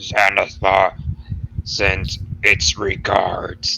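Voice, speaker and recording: A gruff voice. It is a put-on character voice. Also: man, fairly low pitch for a man. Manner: menacing.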